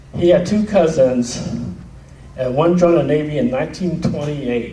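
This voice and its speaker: At a moderate pace, a man speaks with audible room echo and noticeable background noise. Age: 60s. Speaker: veterans' family member speaker. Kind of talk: reunion speech.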